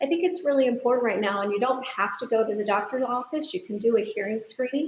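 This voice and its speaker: Against noticeable background noise, a woman talks at a very fast pace with a high pitch and lively intonation. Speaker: audiologist. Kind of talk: interview answer.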